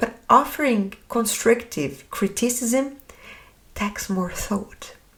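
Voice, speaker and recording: At a very slow pace, a woman speaks with a French accent. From France. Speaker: podcast host. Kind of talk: podcast monologue.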